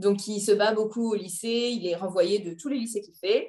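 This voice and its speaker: A woman talks fairly slowly, her pitch varying in an ordinary way. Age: 30s. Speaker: IT project manager and book recommender. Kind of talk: casual interview chat.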